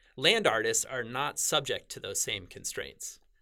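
A man with an American accent has a bright, sharp tone. The recording is very clean, and the background is silent. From US Northeast, rural New Hampshire. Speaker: professor. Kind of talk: interview.

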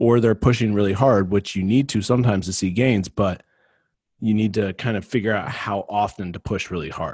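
Delivered at a fairly quick pace with fairly even intonation, a plain, everyday voice comes through on a very clean recording with a silent background. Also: man, fairly low pitch for a man. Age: 30s. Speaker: physical therapist. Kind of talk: casual chat.

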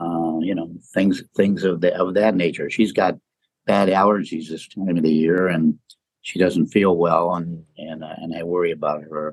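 A man speaks in a very deep, low voice at a moderate pace. His intonation is monotone and flat. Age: 80s+. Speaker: podcast co-host. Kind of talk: casual chat. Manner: halting.

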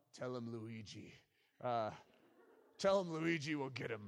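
Putting on a character voice with an Italian accent, a man speaks at a medium pitch and a fairly slow pace. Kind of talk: gangster talk. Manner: imitative, bad accent.

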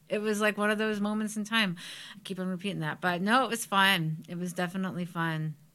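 With a Cleveland accent, a woman talks very fast at a medium pitch and a fairly even intonation, captured on a very clean recording against a silent background. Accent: Midwestern American (Cleveland). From Parma, Ohio (Cleveland area). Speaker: psychic medium and former coworker. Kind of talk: casual chat.

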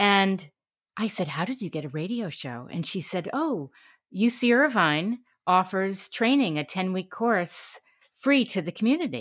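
This woman has a US Northeastern accent and a medium pitch. She talks at a moderate pace with very wide pitch swings. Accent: US Northeast. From New York City and Connecticut. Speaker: radio talk show host and voiceover artist. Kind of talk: interview. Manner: animated.

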